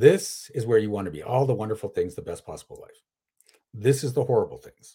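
With big swings in loudness, a man moves along at a fairly quick pace. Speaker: coach of coaches. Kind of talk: interview.

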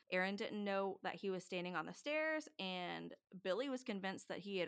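On a very clean recording with a silent background, a woman speaks with lively intonation and a bright, sharp tone. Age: 30s. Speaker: podcast co-host. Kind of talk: casual chat.

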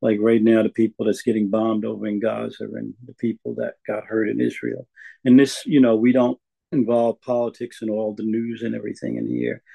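At a fairly quick pace, a man talks with big swings in loudness. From New York. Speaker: recovery meeting speaker. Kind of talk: testimony. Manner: halting.

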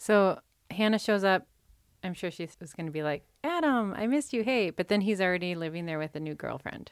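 On a very clean recording with a silent background, a woman with an American accent talks at a fairly quick pace, a medium pitch and lively intonation, in an unremarkable speaking voice. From US Midwest, southern Minnesota. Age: 40s. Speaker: podcast co-host. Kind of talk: casual chat.

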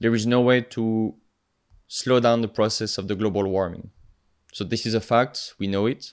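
The recording is very clean, with a silent background. A man speaks with fairly even intonation. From France, the Alps. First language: French. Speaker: marine biologist, PhD student and nonprofit co-founder. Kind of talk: podcast interview.

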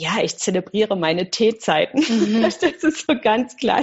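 A woman speaks fairly slowly. Vocal fry runs through her voice. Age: 50s. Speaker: mindfulness teacher. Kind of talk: interview.

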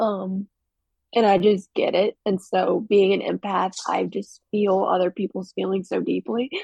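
A woman's dark, mellow voice with vocal fry, at a fairly slow pace. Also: dry, close sound with no echo. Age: young. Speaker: guest sharing personal story. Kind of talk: emotional interview. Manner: halting.

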